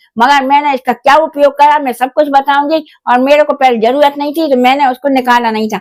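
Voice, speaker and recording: Speaking with a high pitch and fairly even intonation, a woman is heard in a dry, close sound with no echo. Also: moderate pace, hardly any pauses. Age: 70s. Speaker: YouTuber. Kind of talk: vlog. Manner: halting.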